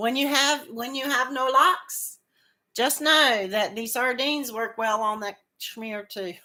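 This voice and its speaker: A loud woman's voice, high in pitch, with a bright, sharp tone and ordinary pitch variation, on a very clean recording with a silent background. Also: fairly slow pace. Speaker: crochet livestream host. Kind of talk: casual chat with live viewers. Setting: livestream. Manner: halting, repeats words.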